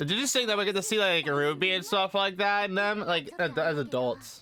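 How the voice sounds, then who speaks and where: A man speaks with a bright, sharp tone and lively intonation. The recording is very clean, with a silent background. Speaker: YouTube anime reactor. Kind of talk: reaction commentary. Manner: fast.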